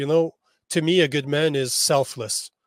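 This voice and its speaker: A man with an ordinary speaking voice talks at a moderate pace with fairly even intonation. The recording is very clean and dry, close, with a silent background and no echo. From Canada. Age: 40s. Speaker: men's coach. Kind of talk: podcast interview.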